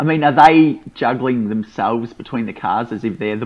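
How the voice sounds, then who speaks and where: At a moderate pace, a man with an Australian accent speaks with lively intonation. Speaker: podcast co-host. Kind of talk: casual chat.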